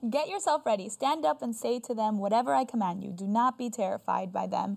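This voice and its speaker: On a very clean recording with a silent background, a woman has an unremarkable speaking voice. Her pitch is fairly high and her pace moderate. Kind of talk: Bible study discussion. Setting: studio.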